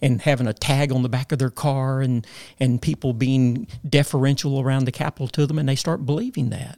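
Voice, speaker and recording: A man speaks at a medium pitch and a fairly quick pace, his intonation fairly even, in a dry, close recording with no echo. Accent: Southern US. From Arkansas. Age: 60s. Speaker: former state legislator. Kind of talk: interview.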